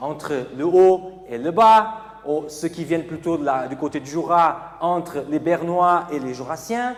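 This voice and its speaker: A man with a Portuguese accent speaks at high pitch with lively intonation. Audible room echo and noticeable background noise are present. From Portugal (Porto). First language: Portuguese (speaking French). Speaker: preacher. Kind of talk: sermon.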